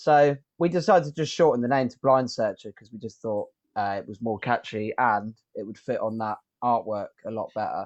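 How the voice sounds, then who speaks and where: With a southern English accent, a man at medium pitch and ordinary pitch variation talks at a fairly quick pace with big swings in loudness, in a dry, close sound with no echo over a quiet background. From southern England. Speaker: rock band musician. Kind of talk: interview. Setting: video call.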